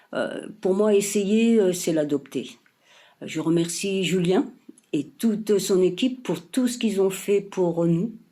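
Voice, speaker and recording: A woman speaks at a very slow pace in a medium pitch. Her tone is dark and mellow, with ordinary pitch variation. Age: 60s. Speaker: fitness program member. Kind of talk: testimonial. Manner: hesitant, many fillers.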